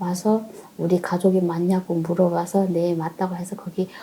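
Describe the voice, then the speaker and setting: A woman with a medium pitch speaks at a fairly quick pace, while noticeable background noise carries on behind her. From North Korea. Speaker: North Korean defector. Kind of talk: interview.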